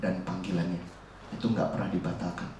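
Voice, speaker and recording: Noticeable background noise and audible room echo surround a man talking at a fairly quick pace with ordinary pitch variation. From Central Java, Indonesia (Solo). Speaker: youth preacher. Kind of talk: sermon.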